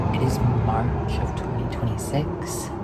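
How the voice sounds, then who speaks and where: Soft-spoken and very slow, the speaker talks over noticeable background noise. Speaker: vlogger. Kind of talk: soft-spoken ASMR ramble.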